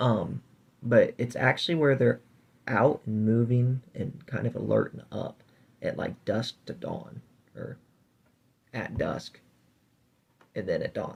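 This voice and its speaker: A man's very slow delivery, with long, frequent pauses and big swings in loudness. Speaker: reptile keeper and video host. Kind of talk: tutorial. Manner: casual, halting with fillers.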